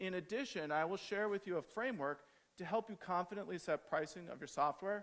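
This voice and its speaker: The speaker has an American accent, a fairly quick pace and ordinary pitch variation. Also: man. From United States. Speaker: agile trainer and conference speaker. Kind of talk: conference talk.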